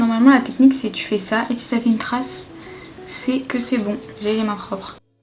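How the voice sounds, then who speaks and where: With music in the background, a woman talks at a moderate pace in a monotone, flat voice whose loudness swings widely. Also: fairly high pitch for a woman. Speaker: home cook vlogger. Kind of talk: casual cooking vlog talk to camera. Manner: whispered.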